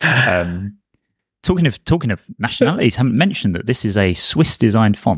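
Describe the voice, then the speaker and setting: With lively intonation and a fairly quick pace, a man talks in an ordinary speaking voice, the sound dry and close with no echo. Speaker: designer, podcast co-host. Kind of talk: casual chat.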